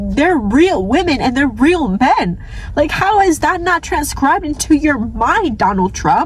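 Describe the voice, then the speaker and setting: Over noticeable background noise, a woman speaks at a high pitch and a moderate pace in an animated tone, with very wide pitch swings, very even loudness and hardly any pauses. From New York City (Staten Island). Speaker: vlogger. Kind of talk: rant. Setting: in a car.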